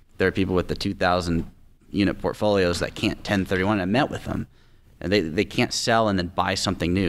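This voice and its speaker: Very fast speech with fairly even intonation and an American accent. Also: man. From Tacoma, Washington, US Pacific Northwest. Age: 20s. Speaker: real estate investor. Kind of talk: interview. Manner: fluent, confident. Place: studio. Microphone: studio mic.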